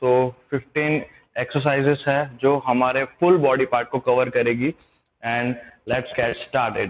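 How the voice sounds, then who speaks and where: The pace is fairly slow. The intonation is monotone and flat. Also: man. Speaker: fitness trainer. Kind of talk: tutorial. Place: hall.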